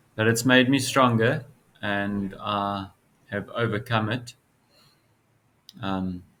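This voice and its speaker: At a very slow pace, a man with a fairly low pitch and a bright, sharp tone speaks with long, frequent pauses. His intonation is fairly even. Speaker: spiritual video creator. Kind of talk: casual monologue to camera. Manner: halting, hesitant.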